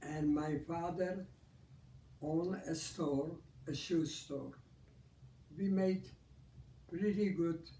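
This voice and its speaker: Speaking at a very slow pace with long, frequent pauses, a man with a fairly high pitch and a dark, mellow tone keeps his intonation fairly even, and the room echo is audible. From Poland. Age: 90s. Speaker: Holocaust survivor. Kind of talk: interview, personal testimony. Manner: halting, with repetitions and false starts.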